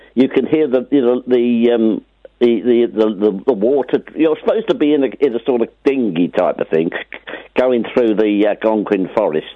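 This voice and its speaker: A man with a normal speaking voice talks at a medium pitch and moderate pace, with ordinary pitch variation and very even loudness. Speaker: radio caller. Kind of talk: phone-in call.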